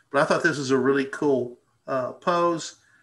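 A fairly slow, fairly even delivery in an Arkansas accent, bright and sharp in tone, over a quiet background. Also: man. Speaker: birding presenter. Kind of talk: casual educational chat. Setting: live video stream. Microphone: video call.

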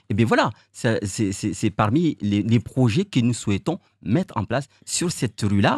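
A man is speaking. The sound is dry with no echo. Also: quiet background. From Mayotte. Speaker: mayoral candidate; election candidate. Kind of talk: interview. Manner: halting. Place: studio. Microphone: studio mic.

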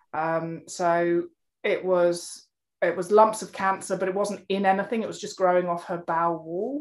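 With music in the background, a woman of medium pitch speaks fairly quickly, her intonation fairly even. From Jersey. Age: 40s. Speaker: regenerative farming advocate. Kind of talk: interview.

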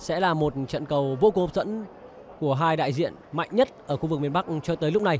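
With an animated tone and ordinary pitch variation, a man talks at a fairly quick pace in a fairly high voice. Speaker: football commentator. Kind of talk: live sports commentary. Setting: stadium broadcast. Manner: animated, fast-paced play-by-play; formal, polished broadcast diction.

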